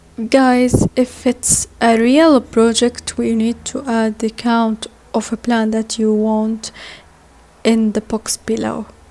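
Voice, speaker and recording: A woman with a non-native accent speaks very slowly in a fairly high, monotone, flat voice. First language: not English. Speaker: software tutorial instructor. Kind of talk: tutorial. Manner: halting.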